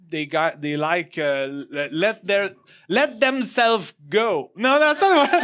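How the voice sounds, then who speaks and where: Speaking slowly-ish with a Quebec accent, a man uses a high pitch and very wide pitch swings at a fairly slow pace. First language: French. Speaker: comedian. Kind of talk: casual chat. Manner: halting.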